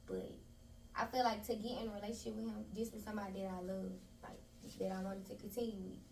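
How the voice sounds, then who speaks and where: Audible room echo and noticeable background noise surround a woman speaking with an American accent. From Memphis, Tennessee. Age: 20s. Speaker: interview guest, spa owner. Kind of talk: casual interview chat.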